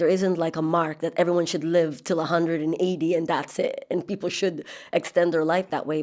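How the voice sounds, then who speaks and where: A woman speaks at a fairly quick pace in an ordinary speaking voice, her pitch fairly low. The recording is very clean, with a silent background. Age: 40s. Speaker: podcast host. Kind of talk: interview. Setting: podcast.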